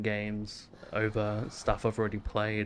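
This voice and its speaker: A man's fairly low voice at a fairly slow pace. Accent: Australian. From Australia. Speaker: game streamer. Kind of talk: casual chat. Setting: live stream. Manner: low energy, chill.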